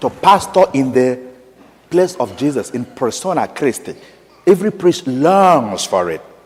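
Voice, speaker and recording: With a strong African accent, a man pitched fairly high for a man speaks at a fairly slow pace with very wide pitch swings. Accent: strong African accent, kept. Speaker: parish priest. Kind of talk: sermon. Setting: church, Mass. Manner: animated storytelling.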